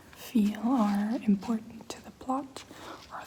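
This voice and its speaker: This soft-spoken voice moves at a very slow pace over noticeable background noise. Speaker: ASMR creator, book club member. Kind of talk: ASMR soft-spoken talk to camera.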